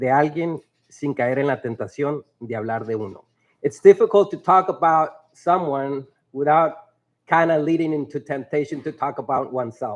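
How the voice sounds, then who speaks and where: Against a quiet background, a man with a Spanish accent speaks at a moderate pace with a fairly high pitch. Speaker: teacher. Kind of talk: graduation speech. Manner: halting.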